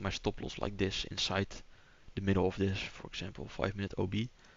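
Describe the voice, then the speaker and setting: Speaking with a Dutch accent, a man uses a fairly low pitch and monotone, flat intonation. His pace is fairly quick. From Netherlands. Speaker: day trader streamer. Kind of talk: live trading stream commentary. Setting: live stream. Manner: hesitant, with fillers.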